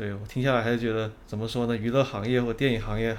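The delivery comes at a fairly quick pace. Its intonation is monotone and flat. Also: man. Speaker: podcast host. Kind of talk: casual interview.

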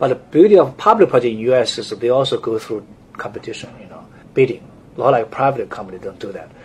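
With a strong Chinese accent, a man speaks very fast at a medium pitch, his intonation lively. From China. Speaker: architect. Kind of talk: interview. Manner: halting.

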